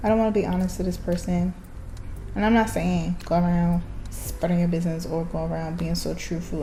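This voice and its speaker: A woman's words come at a moderate speed, with noticeable reverberation from the room. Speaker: vlogger. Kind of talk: casual monologue. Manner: halting.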